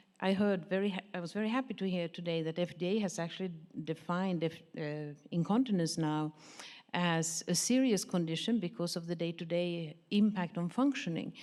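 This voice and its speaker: Fairly low in pitch, a woman talks at a fairly quick pace with a slight Swedish accent. Her pitch varies in an ordinary way. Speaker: pharmaceutical industry professional, audience member. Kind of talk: audience question at a conference panel.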